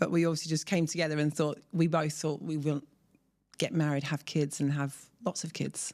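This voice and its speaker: With a southern English accent, a woman speaks at a fairly quick pace in a very deep, low voice with a dark, mellow tone and flat, monotone intonation, on a very clean recording with a silent background. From southern England, Surrey. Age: 40s. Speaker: mother of four, expat. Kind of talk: interview.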